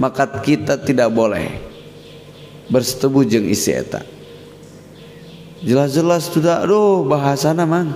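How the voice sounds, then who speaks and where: A man with a West Javanese accent speaks with fairly high pitch and lively intonation. Long, frequent pauses break up his speech. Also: fairly slow pace. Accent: Sundanese. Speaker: Islamic boarding school leader and cleric. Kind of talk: religious scripture lecture.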